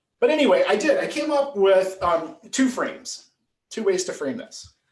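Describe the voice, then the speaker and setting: A man's animated, extremely high voice, with very wide pitch swings, big shifts in loudness and a moderate pace. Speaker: political science professor. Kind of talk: lecture.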